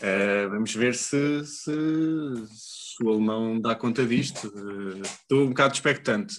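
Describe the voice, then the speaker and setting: Ordinary pitch variation accompanies a very slow pace. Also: man, medium pitch for a man. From Portugal, Leiria. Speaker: podcast co-host. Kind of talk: casual chat.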